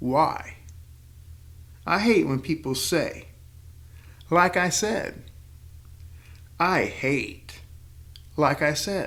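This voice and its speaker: The delivery is very slow. Long, frequent pauses break it up. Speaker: podcast host. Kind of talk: scripted narration.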